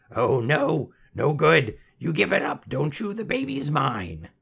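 A man puts on a character voice at a fairly high pitch. It sounds raspy and croaky. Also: fairly slow pace. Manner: snappish, impatient, gleeful bargaining.

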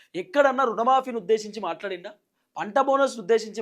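This man speaks with a Telangana accent. His pitch is high, with ordinary pitch variation. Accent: Telangana Telugu. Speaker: YouTube news commentator. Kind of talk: political commentary monologue.

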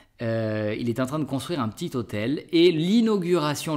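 At a moderate pace, a man with a fairly high pitch speaks with very wide pitch swings. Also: quiet background. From France, Bordeaux; France. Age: 30s. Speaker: French teacher, YouTuber; French teacher, vlogger. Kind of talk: casual Q&A vlog. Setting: outdoors, public garden. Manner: hesitant, with fillers. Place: home room.

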